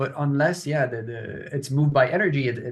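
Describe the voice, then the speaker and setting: A man talks with fairly even intonation in a somewhat breathy voice. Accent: Canadian. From Quebec, near Montreal. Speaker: professor. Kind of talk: interview.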